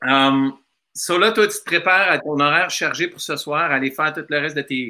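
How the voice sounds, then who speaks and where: The man talks at a moderate pace and a fairly high pitch, with ordinary pitch variation. His tone is bright and sharp. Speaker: musician hosting a livestream. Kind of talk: casual chat.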